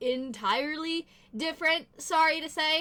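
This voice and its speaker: A woman speaks in a high, raised, projected voice. Her intonation is lively. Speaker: gaming youtuber. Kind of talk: gameplay commentary. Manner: chatty, rambling.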